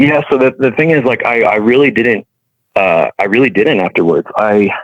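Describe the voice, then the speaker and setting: A man speaks with ordinary pitch variation. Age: 30s. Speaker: testimony guest, Navy veteran. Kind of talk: testimony. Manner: halting.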